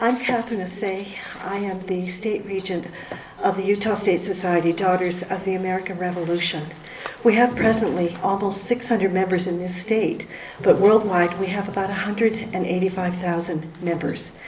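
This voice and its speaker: A woman's fairly even intonation comes through audible room echo and noticeable background noise. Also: medium pitch for a woman, moderate pace. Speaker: state leader of a women's heritage society. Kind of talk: award ceremony speech.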